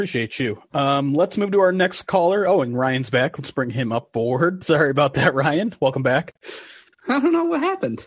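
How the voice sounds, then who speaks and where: A man with a fairly high pitch speaks at a moderate pace with lively intonation in a plain, everyday voice. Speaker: sports podcast host and producer. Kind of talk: live call-in sports talk show.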